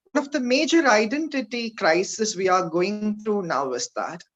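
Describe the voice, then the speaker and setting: The voice keeps a moderate pace against a quiet background. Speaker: keynote speaker, intersex rights activist. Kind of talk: keynote talk. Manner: hesitant, many fillers.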